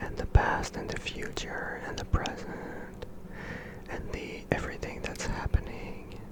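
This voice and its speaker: A whisper moves at a fairly slow pace with noticeable background noise behind it. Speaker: ASMR creator. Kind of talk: ASMR sleep rambling. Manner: whispered, soft-spoken.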